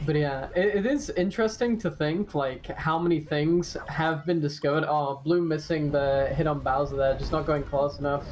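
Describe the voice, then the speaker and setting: At a moderate pace and with hardly any pauses, the speech runs over noticeable background noise. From Britain. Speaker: speedrun commentator. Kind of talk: live commentary. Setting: commentary booth.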